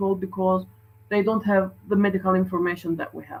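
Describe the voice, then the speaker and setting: A woman speaks in a somewhat breathy voice with a Turkish accent. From Turkey. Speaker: doctor. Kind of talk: conference talk.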